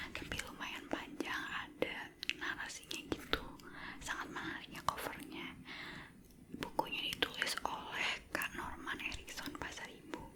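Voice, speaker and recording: The speaker whispers at a fairly slow pace, with long, frequent pauses. Noticeable background noise sits behind the voice. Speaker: ASMR creator. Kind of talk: casual talk to camera. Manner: whispered.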